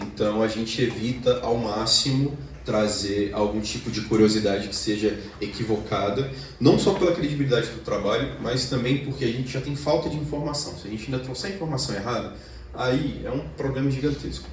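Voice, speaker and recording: Amid noticeable background noise and audible room echo, a man talks at a moderate pace with medium pitch and ordinary pitch variation. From Brazil, Minas Gerais. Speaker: lecturer. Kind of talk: lecture.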